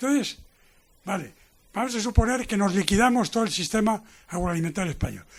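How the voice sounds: Speaking at a fairly quick pace, a man with a high pitch uses lively intonation.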